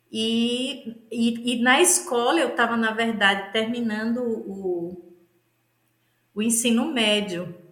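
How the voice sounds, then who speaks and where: Very slow speech from a woman with a fairly high pitch and ordinary pitch variation. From Northeast Brazil, Aracaju, Sergipe. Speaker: pastor and theologian. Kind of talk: interview conversation.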